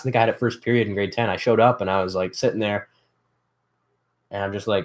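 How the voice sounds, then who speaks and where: Here is a man with a Canadian accent. His pitch is medium and his intonation fairly even. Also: very clean recording, silent background. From Canada, Ontario. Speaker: DIY youtuber. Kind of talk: casual livestream chat. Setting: livestream from workshop. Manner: fast.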